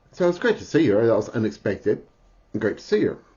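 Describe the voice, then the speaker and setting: Somewhat breathy, a man's voice rises and falls with lively intonation. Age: 50s. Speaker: spiritual vlogger. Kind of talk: personal video diary. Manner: halting, many fillers; interrupted by hiccups.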